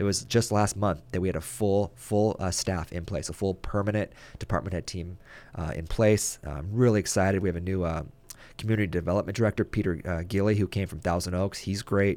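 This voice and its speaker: On a very clean recording with a silent background, a man with a Californian accent talks very fast in a very deep, low voice with ordinary pitch variation. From US West Coast, Ventura, California. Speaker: mayor. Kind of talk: radio interview. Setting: studio.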